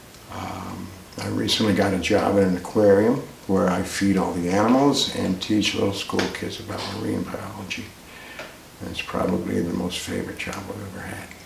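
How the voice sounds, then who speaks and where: A man's fairly low voice with an American accent, moderate pace, ordinary pitch variation, and big swings in loudness, amid audible room echo and noticeable background noise. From US South (Kentucky, North Carolina) and New Jersey. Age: 70s. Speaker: retiree telling his life story. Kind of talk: oral history interview. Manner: casual, some hesitations.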